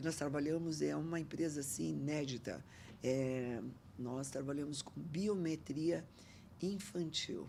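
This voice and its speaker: A woman speaks at a fairly slow pace with a very deep, low pitch and a dark, mellow tone. Her pitch varies in an ordinary way, and audible room echo surrounds her. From Brazil, northern Paraná interior. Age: 70s. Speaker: entrepreneur. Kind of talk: podcast interview. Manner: animated.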